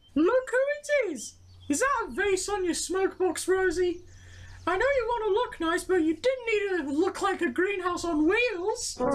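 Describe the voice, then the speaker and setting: Extremely high-pitched put-on character voice, delivered at a moderate pace. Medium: audio drama. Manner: mocking.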